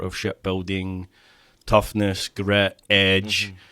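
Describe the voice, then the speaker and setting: A man talks at a very slow pace in a Glaswegian accent. His pitch is fairly low and his intonation monotone and flat. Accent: Glaswegian Scottish. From Scotland (Clydebank, Glasgow). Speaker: therapist. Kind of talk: podcast interview.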